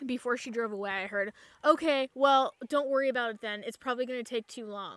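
Her voice high in pitch with ordinary variation, a woman talks at a fairly quick pace, recorded dry and close with no echo. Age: 30s. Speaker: student and podcast co-host. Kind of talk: casual chat. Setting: outdoors at a campground.

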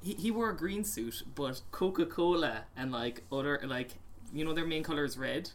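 With an Irish accent and lively intonation, a man speaks at a fairly high pitch amid audible room echo. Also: moderate pace. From Ireland. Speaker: podcast co-host. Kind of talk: casual chat.

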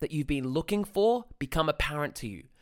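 A man speaks with an Australian accent in an animated, intense tone. His pitch swings very widely. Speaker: dating coach podcaster. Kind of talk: angry rant, swearing, emphatic lecture-style coaching. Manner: animated, intense, emphatic.

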